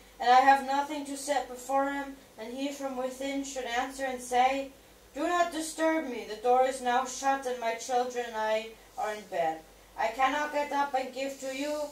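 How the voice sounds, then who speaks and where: Ordinary pitch variation at a moderate pace, with big swings in loudness and audible room echo. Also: woman, high pitch for a woman. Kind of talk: scripture reading. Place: home room. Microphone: camera far.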